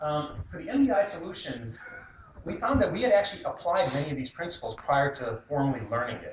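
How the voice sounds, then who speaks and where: A man with an American accent talks at a fairly quick pace, his high voice making very wide pitch swings. Noticeable background noise runs behind him. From US, born in Pakistan, raised in America. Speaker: student presenter. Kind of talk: class presentation.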